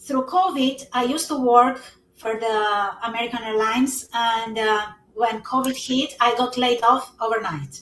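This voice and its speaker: Speech comes at a fairly slow pace with ordinary pitch variation. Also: woman, high pitch for a woman. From Albania. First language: Albanian. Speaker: network marketing entrepreneur. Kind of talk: interview on a live stream.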